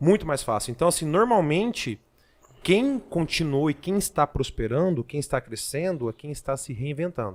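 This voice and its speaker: A man speaks in a fairly high voice with very wide swings in pitch and an animated tone. The sound is dry and close, with no echo. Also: moderate pace. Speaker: solar equipment sales manager. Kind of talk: podcast panel discussion.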